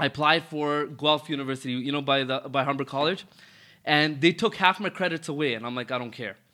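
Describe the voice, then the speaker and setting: With a fairly high pitch and ordinary pitch variation, this man speaks at a moderate pace. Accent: Toronto. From Toronto, Canada (Rexdale). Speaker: car dealership owner. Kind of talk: casual interview.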